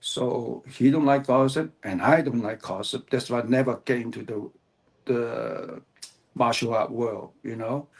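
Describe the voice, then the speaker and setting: A man's medium-pitched voice in a Cantonese accent, at a fairly slow pace with ordinary pitch variation. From Hong Kong. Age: 70s. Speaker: author, martial artist. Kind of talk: interview. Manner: halting.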